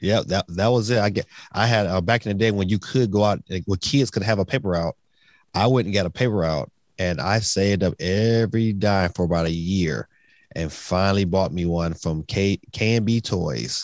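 With an American accent and a normal speaking voice, a man speaks with ordinary pitch variation in a dry, close sound with no echo. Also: fairly low pitch for a man, moderate pace. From Detroit, US. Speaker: gaming YouTuber. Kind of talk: casual chat.

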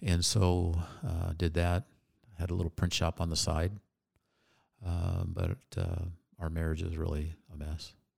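On a very clean recording with a silent background, a man speaks at a very deep, low pitch in a monotone, flat intonation with a somewhat breathy sound. His pace is fairly slow, with long, frequent pauses. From Phoenix, Arizona. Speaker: entrepreneur and army veteran. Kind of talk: casual interview.

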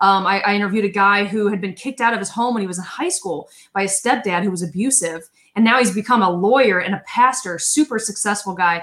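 Very fast and animated, a woman speaks in an upbeat tone at medium pitch with ordinary pitch variation. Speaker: podcast host. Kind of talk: interview chat. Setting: live video stream. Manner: animated, upbeat.

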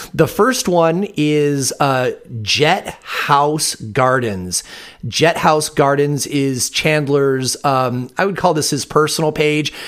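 Amid noticeable background noise, a man with a fairly high pitch and ordinary pitch variation speaks very slowly. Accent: American. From Michigan. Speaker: podcast host, cannabis grower. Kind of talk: interview.

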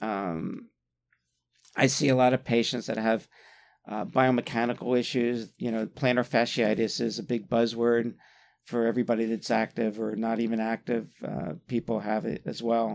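A man with an American accent talks at a moderate pace in an unremarkable speaking voice, medium in pitch with fairly even intonation. The recording is very clean, with a silent background. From US East Coast, Atlantic City, New Jersey. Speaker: podiatrist. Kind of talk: interview.

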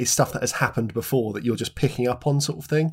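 Very clean, with a silent background, this recording holds a man's ordinary speaking voice. His pitch is medium, with ordinary pitch variation. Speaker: podcast co-host. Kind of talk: casual podcast discussion.

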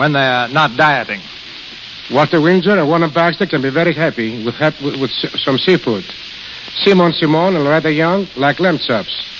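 Background noise is noticeable here. A man speaks at a fairly high pitch. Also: ordinary pitch variation, moderate pace. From Greece. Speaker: restaurant manager. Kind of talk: radio interview.

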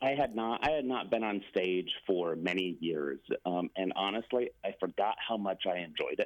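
A man talks at a moderate pace with lively intonation, a fairly low pitch and hardly any pauses. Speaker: actor. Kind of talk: radio interview. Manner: halting.

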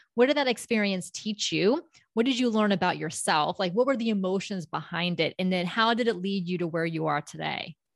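An ordinary speaking voice from a woman with an American accent, medium pitch and ordinary pitch variation, at a fairly quick pace with hardly any pauses, dry and close with no echo over a quiet background. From US South, South Florida (Palm Beach County). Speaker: public speaking coach and company founder. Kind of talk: interview.

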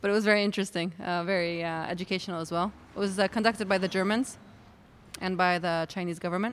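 Very fast speech from a woman at a medium pitch. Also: fairly even intonation. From Palestine. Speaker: brewer. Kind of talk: interview. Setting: at a brewery. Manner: halting.

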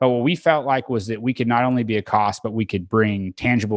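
With an American accent, a man has an unremarkable speaking voice, medium pitch and ordinary pitch variation, and talks at a fairly quick pace. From Oklahoma (Tulsa area). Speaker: energy company co-founder and podcast host. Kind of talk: casual interview chat. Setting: video call.

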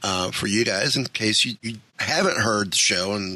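Noticeable background noise sits under this recording. A man talks at a moderate pace with a fairly low pitch. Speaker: podcast host. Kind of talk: casual interview.

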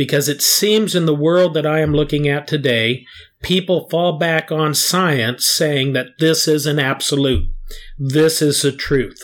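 An ordinary speaking voice from a man, fairly high in pitch, at a fairly slow pace with fairly even intonation and very even loudness, on a very clean recording with a silent background. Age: 60s. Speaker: geologist. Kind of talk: casual chat.

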